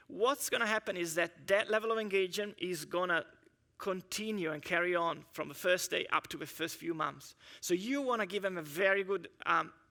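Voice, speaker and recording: On a very clean recording with a silent background, a man with a bright, sharp tone speaks at a fairly quick pace with ordinary pitch variation. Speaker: engineering manager giving a conference talk. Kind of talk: conference presentation. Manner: fast.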